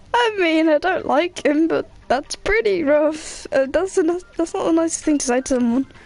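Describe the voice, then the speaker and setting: A woman speaks at an extremely high pitch with lively intonation and a moderate pace. Noticeable background noise sits behind her. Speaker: game streamer. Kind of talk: let's play commentary. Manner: quiet.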